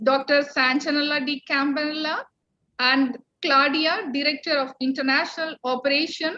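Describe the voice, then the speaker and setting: A woman speaks in a raised, projected voice at a moderate pace, her high pitch carrying a bright, sharp tone with ordinary pitch variation. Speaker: college principal. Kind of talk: welcome speech. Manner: formal.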